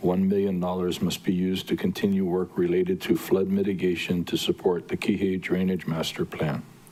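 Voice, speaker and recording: Fairly quick, monotone, flat delivery over noticeable background noise. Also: man, very deep, low pitch for a man, hardly any pauses. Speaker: county council member. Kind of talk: committee meeting debate. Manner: loud.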